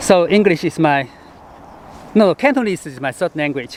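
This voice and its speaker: A Hong Kong accent with lively intonation at a moderate pace, over noticeable background noise. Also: man. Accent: Chinese (Hong Kong) accented English. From born in Chengdu, China; moved to Hong Kong in high school. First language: Sichuanese. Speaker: travel writer and travel show host. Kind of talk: vlog monologue to camera. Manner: halting, with fillers.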